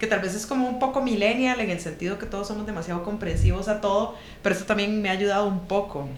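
Very fast speech with ordinary pitch variation, audible room echo and noticeable background noise. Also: woman, medium pitch for a woman. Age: 30s. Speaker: podcast co-host, consultant. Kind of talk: casual chat.

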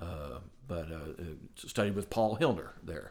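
With an American accent, a man speaks at a very deep, low pitch with lively intonation. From US Midwest, southwest Ohio. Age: 50s. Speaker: trumpet player. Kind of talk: interview conversation. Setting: studio.

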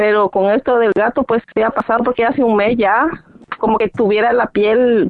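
A woman's fairly high voice at a moderate pace, very even in loudness, with noticeable background noise. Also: fairly even intonation. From Latin America. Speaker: caller. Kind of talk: phone-in question.

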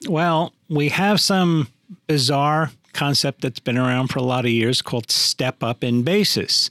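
Using an ordinary speaking voice, a man speaks fairly slowly in a fairly high pitch with ordinary variation and very even loudness. The sound is dry and close, with no echo. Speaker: tax professional podcast co-host. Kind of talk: educational podcast discussion.

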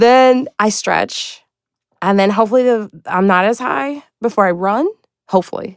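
Speaking at a moderate pace, a woman has a plain, everyday voice, a fairly high pitch, ordinary pitch variation and an American accent. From Chicago, US Midwest. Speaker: stand-up comedian. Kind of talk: casual chat.

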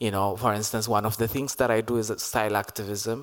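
Fairly low in pitch, a man talks at a moderate pace in an ordinary speaking voice. His intonation stays fairly even. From Ethiopia. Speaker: performance artist and activist. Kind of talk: panel discussion. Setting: stage with audience.

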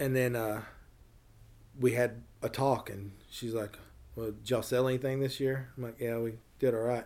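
At a moderate pace, a man with a Tennessee accent speaks in monotone, flat intonation, with long, frequent pauses. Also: medium pitch for a man. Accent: Tennessee Southern. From US South. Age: 40s. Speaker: small business owner. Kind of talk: casual chat. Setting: in person.

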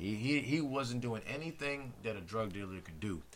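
This is a plain, everyday voice with lively intonation, moving at a fairly slow pace. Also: man. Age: 30s. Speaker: podcast guest. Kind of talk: casual chat.

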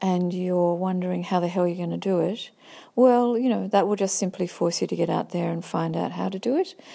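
A fairly quick pace in a very clean recording with a silent background. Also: woman. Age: 50s. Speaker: visual artist. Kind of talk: personal testimony monologue. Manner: halting, many fillers.

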